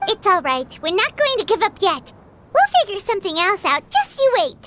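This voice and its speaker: In a put-on character voice, this woman reaches an extremely high pitch. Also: moderate pace. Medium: video game. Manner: warm, encouraging.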